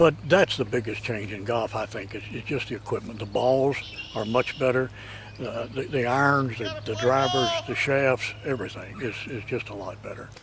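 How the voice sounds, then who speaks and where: A man's pitch varies in an ordinary way while noticeable background noise runs behind him. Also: medium pitch for a man, moderate pace. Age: 70s. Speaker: retired golfer. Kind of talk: interview.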